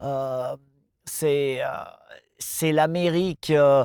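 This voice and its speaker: Speaking very slowly, a man with a fairly high voice keeps a monotone, flat intonation. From France. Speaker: off-road motorcycle event promoter. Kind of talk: interview answer. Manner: hesitant, casual.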